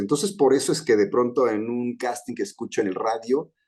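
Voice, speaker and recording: Against a quiet background, a man with vocal fry moves through very wide pitch swings. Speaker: voice actor. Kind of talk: interview answer.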